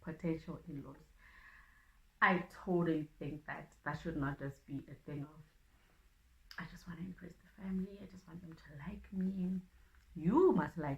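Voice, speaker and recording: At a moderate pace, a woman speaks in a somewhat breathy voice with ordinary pitch variation. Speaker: relationship vlogger. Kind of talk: casual monologue vlog. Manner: halting.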